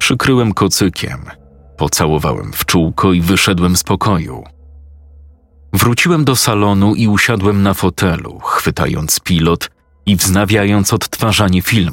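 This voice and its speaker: A man with a plain, everyday voice speaks at a fairly slow pace and a fairly low pitch. His loudness stays very even. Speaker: narrator of creepypasta stories. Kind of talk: ghost story telling, first-person horror narration.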